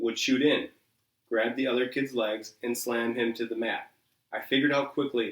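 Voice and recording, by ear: Someone is reading aloud in a natural voice. The intonation stays fairly even against a quiet background.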